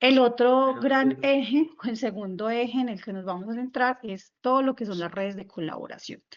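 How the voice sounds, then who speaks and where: Using a normal speaking voice, a woman talks at a moderate pace with fairly high pitch, ordinary pitch variation, big swings in loudness and hardly any pauses. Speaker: instructor. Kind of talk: online workshop lecture.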